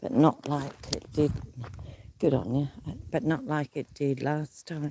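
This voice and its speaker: A woman with an Australian accent speaks at a very deep, low pitch with a dark, mellow tone. Her pace is fairly slow, with ordinary pitch variation. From Australia, New South Wales. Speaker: livestreamer. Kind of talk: casual vlog livestream chat. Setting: outdoors, bush walk.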